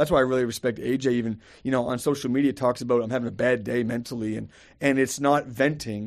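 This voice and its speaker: Very fast and at a medium pitch, a man speaks. His intonation stays monotone and flat. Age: 40s. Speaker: pastor. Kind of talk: casual chat.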